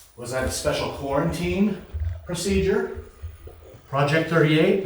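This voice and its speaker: The recording of this man carries audible room echo and noticeable background noise. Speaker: ghost hunter. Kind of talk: ghost hunt. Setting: abandoned hospital. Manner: loud; quiet.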